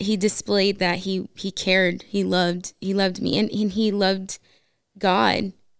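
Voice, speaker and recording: Her pace is fairly slow. The woman is heard in a very clean recording against a silent background. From US West, Las Vegas. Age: 20s. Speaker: guest sharing marriage testimony. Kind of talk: testimony.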